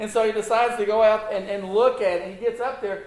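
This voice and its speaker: A man with an extremely high pitch and fairly even intonation speaks with audible room echo. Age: 60s. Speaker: preacher. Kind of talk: sermon. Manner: halting, repeats words.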